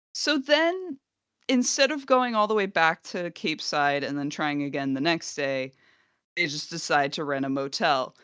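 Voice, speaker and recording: Very wide pitch swings at a moderate pace against a quiet background. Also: woman, fairly low pitch for a woman. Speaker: podcast co-host. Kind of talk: casual chat.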